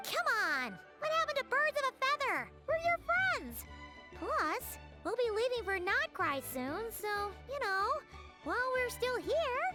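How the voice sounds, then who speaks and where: Someone uses a put-on character voice at an extremely high pitch, talking at a fairly slow pace. Clear music plays in the background. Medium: game stream. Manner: loud, excitable.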